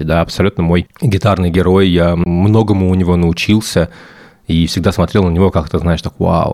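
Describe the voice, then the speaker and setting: Speaking at a moderate pace, a man uses fairly even intonation in a very deep, low pitch. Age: 30s. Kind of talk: casual chat.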